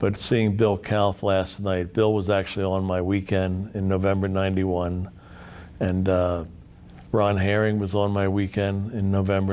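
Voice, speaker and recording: The intonation is monotone and flat. The pace is fairly slow. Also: man. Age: 70s. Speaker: men's group member. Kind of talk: interview. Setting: on-site interview at an event. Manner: halting.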